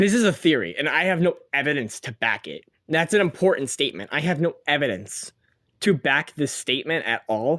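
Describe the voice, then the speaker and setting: A man's voice, with vocal fry and very wide pitch swings, is heard in a very clean recording with a silent background and a dry, close sound with no echo. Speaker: solo podcast host on women's soccer. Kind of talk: casual solo podcast monologue. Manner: sometimes slurs words; fast, many fillers and repetitions.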